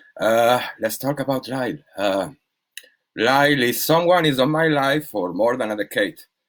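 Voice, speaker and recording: A man at a moderate pace, with ordinary pitch variation and a Spanish accent. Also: medium pitch for a man. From Spain. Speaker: DJ and label manager. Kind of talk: casual chat. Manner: halting.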